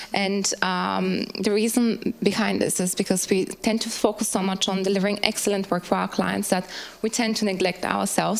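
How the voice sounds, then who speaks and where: A woman with a medium-pitched voice talks at a moderate pace, her intonation fairly even. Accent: Bulgarian. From Bulgaria. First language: Bulgarian. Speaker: workplace well-being designer. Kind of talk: panel talk presentation.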